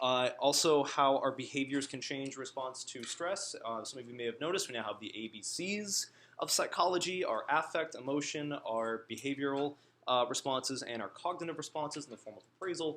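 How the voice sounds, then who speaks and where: With an American accent, a man talks at a fairly quick pace, his fairly high pitch showing ordinary variation. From US Northeast. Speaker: guest lecturer. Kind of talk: lecture. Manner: fast.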